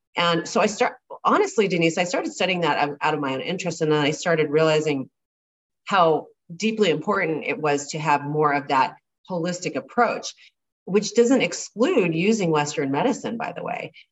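This woman has a normal speaking voice with a fairly low pitch and lively intonation. She talks at a moderate pace. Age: 50s. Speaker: gynecologist. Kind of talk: interview.

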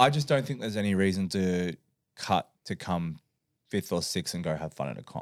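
A man with an Australian accent speaks at a moderate pace in a very deep, low voice with lively intonation, recorded very cleanly against a silent background with a dry, close sound and no echo. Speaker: strongman athlete and coach. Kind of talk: casual chat. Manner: laughs often.

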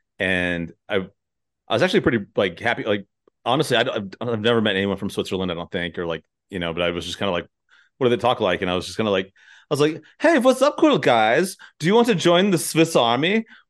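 A man at a medium pitch talking at a very fast pace with very wide pitch swings. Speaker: podcast host. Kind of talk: casual interview chat.

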